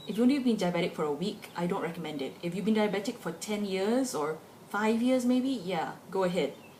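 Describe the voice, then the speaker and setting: Amid noticeable background noise and audible room echo, a woman talks at a fairly quick pace with medium pitch and lively intonation. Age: 20s. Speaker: vlogger. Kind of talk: personal opinion vlog. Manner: casual, conversational.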